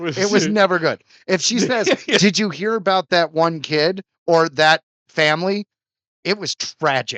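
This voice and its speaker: This man's voice is high-pitched, bright and sharp, with ordinary pitch variation. He talks at a fairly slow pace, and the sound is dry and close with no echo. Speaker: podcast co-host. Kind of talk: casual podcast conversation.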